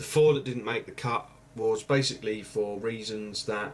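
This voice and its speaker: A man with an English accent speaks quietly at a moderate pace. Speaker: YouTuber. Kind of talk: vlog review. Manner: quiet voice; casual, hesitant. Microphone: webcam mic, far from mic.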